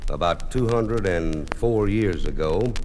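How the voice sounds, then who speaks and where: A man's lively intonation comes through noticeable background noise. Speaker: comedian. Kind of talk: live comedy storytelling.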